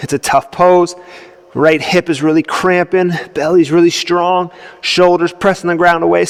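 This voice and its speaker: In a strained, put-on character voice, a man speaks at a high pitch and moderate pace with monotone, flat intonation and a dry, close sound with no echo. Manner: strained, effortful.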